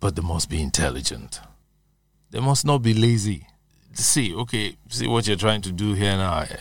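On a very clean recording with a silent background, a man talks at a moderate pace in a fairly low pitch, with vocal fry and very wide pitch swings. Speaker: veteran broadcaster. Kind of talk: interview.

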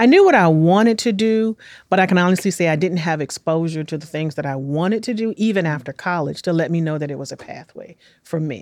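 A woman speaks very fast with an American accent. Her voice is fairly low, with ordinary pitch variation. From Washington, D.C. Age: 50s. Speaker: city small business development director. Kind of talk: interview. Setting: studio.

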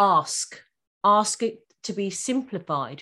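Lively intonation marks this voice with an English accent. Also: woman, very clean recording, silent background. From England. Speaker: law firm founder and podcaster. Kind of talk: interview.

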